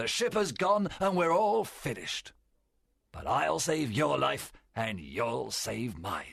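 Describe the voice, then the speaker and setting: At a fairly slow pace, a man uses a put-on character voice at a medium pitch. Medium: read story. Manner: forceful, persuasive.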